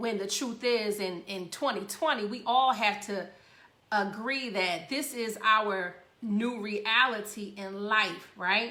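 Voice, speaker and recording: Audible room echo surrounds a woman's voice. She speaks at a very slow pace. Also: fairly high pitch for a woman, ordinary pitch variation. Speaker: radio show host. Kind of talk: casual talk show monologue.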